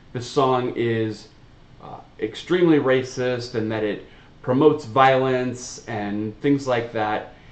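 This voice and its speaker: Audible room echo surrounds a man speaking at a medium pitch. He talks at a very slow pace with ordinary pitch variation. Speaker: reaction video host. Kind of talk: casual chat. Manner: loud; animated.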